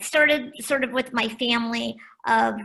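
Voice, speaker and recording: A bright, sharp tone carries the voice. Vocal fry creeps in at the edges. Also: woman. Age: 60s. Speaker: diversity trainer and author. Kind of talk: interview conversation.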